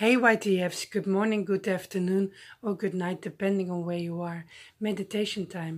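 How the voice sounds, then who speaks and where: Against a quiet background, a woman at medium pitch speaks in a gentle, soothing tone with fairly even intonation. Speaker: YouTuber. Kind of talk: guided breathing meditation with visualization, addressed to viewers. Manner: slow, paced breath cues with deliberate pauses; gentle, soothing and encouraging. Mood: calm, soothing. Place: home room. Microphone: phone near.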